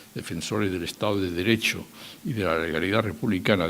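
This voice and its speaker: Noticeable background noise sits behind a man's fairly low-pitched voice. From Spain. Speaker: former political adviser. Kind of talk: public talk. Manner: halting.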